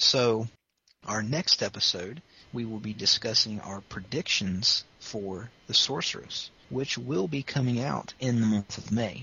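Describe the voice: With a bright, sharp tone, a husky, rough edge and vocal fry, the man talks at a fairly slow pace with ordinary pitch variation. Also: medium pitch for a man.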